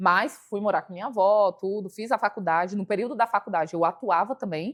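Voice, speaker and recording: With an ordinary speaking voice, a woman talks fairly quickly at medium pitch with ordinary pitch variation and big swings in loudness, the sound dry and close with no echo against a quiet background. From Brasília, Brazil (satellite city). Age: 30s. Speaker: hairstylist and entrepreneur.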